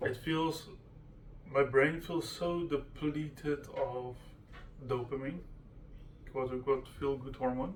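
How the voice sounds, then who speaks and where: A man with fairly even intonation, with audible room echo. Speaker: vlogger sharing personal ADHD experience. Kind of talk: casual personal monologue. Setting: at home in front of computer. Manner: halting, many fillers and restarts.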